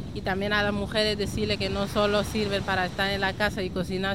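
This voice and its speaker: Amid noticeable background noise and audible room echo, a woman talks at a fairly quick pace. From Senegal, raised in Spain from age 11. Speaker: association member. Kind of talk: interview. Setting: outdoors at the beach.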